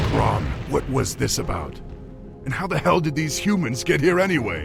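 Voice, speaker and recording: A put-on character voice at a moderate pace, with clear music in the background. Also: man, fairly high pitch for a man. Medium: short film. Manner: commanding, measured.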